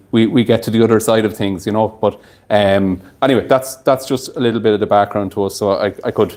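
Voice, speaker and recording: This man has an Irish Midlands accent and a fairly low pitch. He talks at a fairly quick pace with fairly even intonation. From Ireland, County Longford. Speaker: distillery owner presenting at a whiskey tasting. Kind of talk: tasting event talk. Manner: hesitant with many fillers and repetitions.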